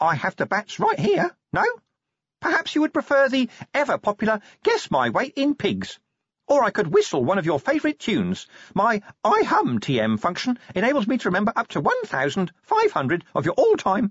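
A put-on character voice, fairly high in pitch, moves at a moderate pace. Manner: pleading, hopeful.

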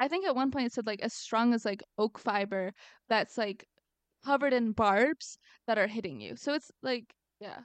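A woman's fairly high voice, animated in tone, with ordinary pitch variation and a moderate pace. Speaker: podcast co-host. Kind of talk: casual chat. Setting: remote recording over internet audio. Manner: animated, high peaks.

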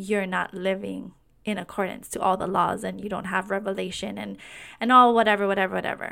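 Flat and monotone, a woman's medium-pitched voice carries vocal fry and a bright, sharp tone on a very clean recording with a silent background. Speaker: podcast host. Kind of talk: personal testimony monologue.

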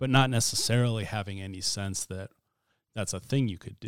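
A man with an American accent and a normal speaking voice talks at a fairly quick pace with fairly even intonation. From US Pacific Northwest, Spokane County, Washington. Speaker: writer and podcast host. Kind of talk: casual interview.

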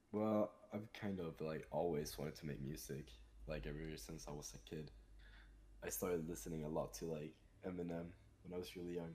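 Moving at a fairly quick pace, a man with a very deep, low pitch speaks in a dark, mellow tone with vocal fry. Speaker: musician. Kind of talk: casual interview.

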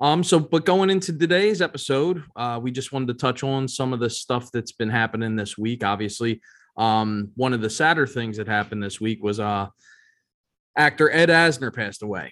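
Against a quiet background, a man with a medium-pitched voice and an American accent speaks at a moderate pace. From Philadelphia, US. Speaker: podcast co-host. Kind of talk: casual chat. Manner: hesitant, many fillers.

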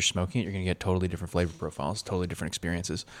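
This man's voice is very deep and low. The recording is very clean and the background silent. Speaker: coffee expert guest. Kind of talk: casual explanatory chat.

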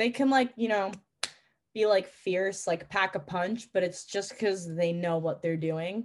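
A woman's medium-pitched voice with a New York accent, at a fairly slow pace with ordinary pitch variation. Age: 20s. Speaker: pilot and flight instructor. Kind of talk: casual chat.

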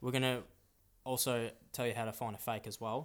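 A man with an Australian accent at a moderate pace, on a very clean recording with a silent background. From Australia, Melbourne. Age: 20s. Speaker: podcast co-host, football shirt collector. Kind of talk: casual chat. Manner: halting.

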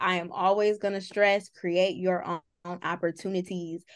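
A woman with an American accent has a plain, everyday voice, a medium pitch and a moderate pace against a quiet background. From US Midwest. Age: 20s. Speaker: entertainment journalist. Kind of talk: casual interview chat.

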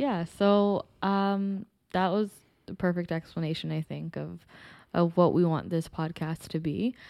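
On a very clean recording with a silent background, a woman with a dark, mellow tone and fairly low pitch speaks fairly slowly with fairly even intonation. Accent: Toronto. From Toronto, Canada (Scarborough). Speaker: podcast co-host, real estate agent. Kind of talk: casual chat.

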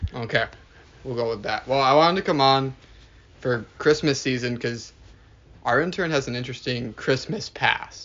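A man at medium pitch, moderate pace and ordinary pitch variation, with long, frequent pauses. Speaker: intern's boss. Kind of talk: casual chat. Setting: in person, at a house. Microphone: shared phone recording.

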